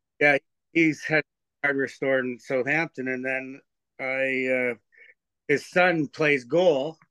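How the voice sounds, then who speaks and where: In a rural Ontario accent, the speaker talks very slowly with a bright, sharp tone, fairly even intonation and long, frequent pauses. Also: man, fairly high pitch for a man, dry, close sound with no echo. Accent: Canadian (rural Ontario). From Ontario, Canada (Teeswater). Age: 60s. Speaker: amateur hockey player and coach, fishing guide. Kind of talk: casual chat. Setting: shed.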